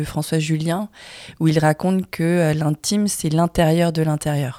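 A woman speaks at a very slow pace with a very deep, low pitch and a dark, mellow tone. Her intonation is monotone and flat, and the sound is dry and close with no echo. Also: very clean recording, silent background. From France, Vietnamese family. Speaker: filmmaker. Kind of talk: casual chat. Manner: halting.

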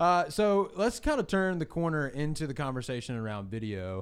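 The speaker is a man. He keeps a moderate pace. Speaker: podcast host and church production staff. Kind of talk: casual chat. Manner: energetic.

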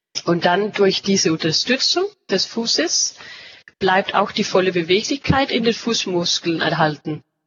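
A woman with a Danish accent, her pitch in the medium range and her pace fairly slow. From Denmark. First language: Danish (speaking German). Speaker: company representative. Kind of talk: interview. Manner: halting, searching for words.

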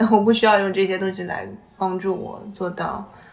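Amid audible room echo and noticeable background noise, a woman talks at a moderate pace with medium pitch. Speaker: podcast host. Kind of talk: casual chat.

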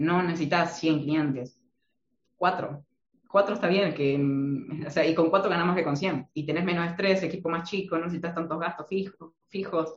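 With an Argentine accent, a man speaks at a moderate pace and a high pitch, his intonation fairly even. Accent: Argentine Spanish (voseo). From Argentina. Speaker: marketing consultant. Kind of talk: interview.

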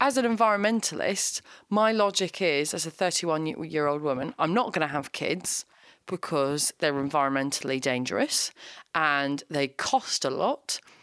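Speaking in a British accent, a woman has a very deep, low pitch and lively intonation at a moderate pace. The recording is very clean and silent behind her, with a dry, close sound and no echo. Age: 30s. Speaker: comedian. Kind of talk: casual chat. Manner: animated.

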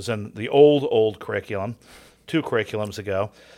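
In a very clean recording with a silent background, a man with an American accent and an unremarkable speaking voice talks at a moderate pace, medium pitch and fairly even intonation. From Southern California. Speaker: seminary Greek professor. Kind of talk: casual chat.

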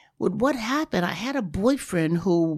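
A woman talks in a New York accent at a moderate pace. Her medium-pitched voice swings very widely in pitch. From New York, Harlem. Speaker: former fashion model. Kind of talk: interview.

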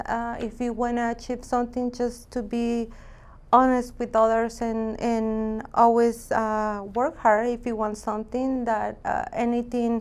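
Over a very clean recording with a silent background, a woman with a Mexican accent speaks fairly slowly at a fairly high pitch in a monotone, flat way. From Mexico, Jalisco. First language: Spanish. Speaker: real estate agent. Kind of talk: interview.

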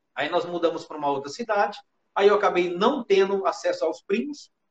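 A man with a high voice speaks at a fairly quick pace. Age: 50s. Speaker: live stream host. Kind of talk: casual chat. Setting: online live stream with video call guest.

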